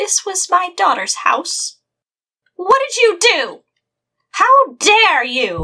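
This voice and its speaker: A woman's put-on character voice, extremely high in pitch with very wide pitch swings, at a very slow pace with long, frequent pauses. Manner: indignant, accusing.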